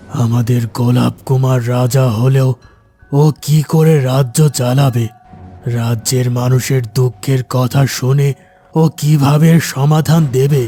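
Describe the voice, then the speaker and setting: Using a cartoonish character voice at a medium pitch, a man speaks fairly slowly in a monotone, flat intonation with very even loudness over faint music in the background. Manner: anxious, mournful.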